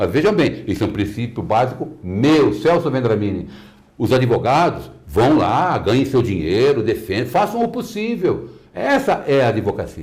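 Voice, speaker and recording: A man at medium pitch and moderate pace, somewhat breathy, with very wide pitch swings and very even loudness, in audible room echo. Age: 60s. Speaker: lawyer. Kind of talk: interview. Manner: animated.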